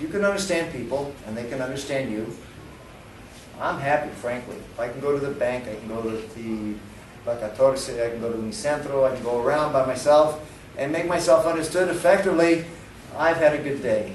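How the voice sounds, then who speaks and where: Over noticeable background noise and audible room echo, a man talks at a fairly quick pace and fairly high pitch, with ordinary pitch variation and big swings in loudness. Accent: New York. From New York. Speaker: English teacher. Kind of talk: lecture.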